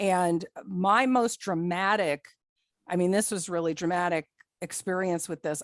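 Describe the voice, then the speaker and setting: A woman's fairly low voice, a normal speaking voice, at a moderate pace with fairly even intonation and a dry, close sound with no echo. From New Jersey. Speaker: psychic. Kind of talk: guest talk on a video call.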